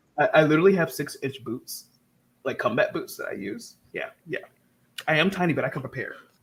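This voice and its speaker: A man with an American accent, animated in tone, at a fairly quick pace, with big swings in loudness. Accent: southern US accent, toned down. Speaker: writing livestream host. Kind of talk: casual chat.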